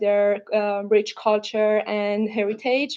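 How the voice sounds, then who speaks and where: A woman with a non-native accent, fairly high-pitched, with a dark, mellow tone. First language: not English. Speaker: UX/UI designer presenting a project. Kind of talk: presentation. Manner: halting, many fillers and restarts.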